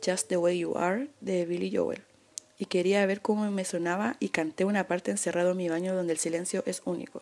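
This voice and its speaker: A woman in a Chilean accent at a fairly slow pace, with noticeable background noise. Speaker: podcast host. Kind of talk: casual chat. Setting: bedroom at home.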